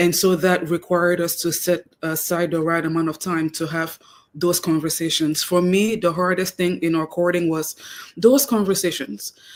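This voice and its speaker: Woman with a Cameroonian accent, fairly low pitch, fairly even intonation, and a moderate pace. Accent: noticeable Cameroonian. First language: Cameroonian native tongue, also French. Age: 30s. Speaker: guest, wife. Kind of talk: radio interview.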